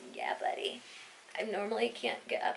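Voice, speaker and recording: A woman whispering at a fairly quick pace amid noticeable background noise and audible room echo. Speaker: vlogger. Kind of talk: casual vlog talk.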